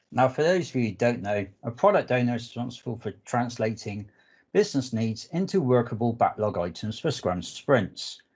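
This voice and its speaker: In a southwest English accent, a man talks at a moderate pace with a medium pitch and lively intonation. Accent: English, southwest UK. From southwest England. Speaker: analytics architect, conference speaker. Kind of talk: technical presentation.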